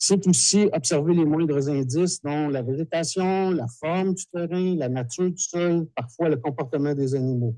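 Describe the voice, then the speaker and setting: Speaking at a fairly slow pace with hardly any pauses, a man with a fairly high pitch and a dark, mellow tone shows ordinary pitch variation. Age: 60s. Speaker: dowser and TV technician. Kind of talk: lecture. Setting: conference hall with audience.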